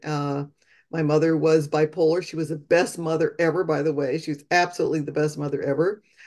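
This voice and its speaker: A woman talks fairly quickly in an American accent. Her voice is very deep and low, over a quiet background. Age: 60s. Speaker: dentist and death doula. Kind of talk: interview. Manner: halting.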